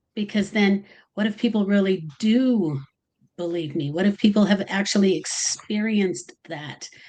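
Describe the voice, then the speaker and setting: A woman speaks at a moderate pace with a medium pitch and ordinary pitch variation. Her tone is dark and mellow, and somewhat breathy. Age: 60s. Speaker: tarot reader. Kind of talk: livestream interview. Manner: halting, many fillers.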